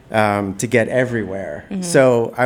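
Over noticeable background noise, a man with an American accent talks at a moderate pace and a medium pitch. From New York City (Brooklyn). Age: 40s. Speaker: guest. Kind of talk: casual chat.

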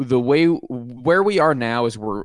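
A man with an American accent and an unremarkable speaking voice, at a fairly slow pace with lively intonation. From Pittsburgh, US. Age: 30s. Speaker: rock music podcast host. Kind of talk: casual chat.

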